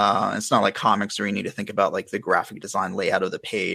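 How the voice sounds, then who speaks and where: With an American accent, a man speaks fairly quickly. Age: 30s. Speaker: fantasy illustrator. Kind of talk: casual chat.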